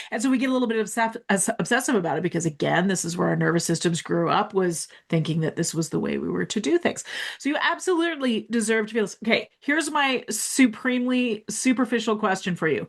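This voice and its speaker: A woman's fairly high voice with vocal fry, very wide pitch swings and a very fast pace. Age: 40s. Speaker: women's health doctor and podcast host. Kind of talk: casual interview chat. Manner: animated.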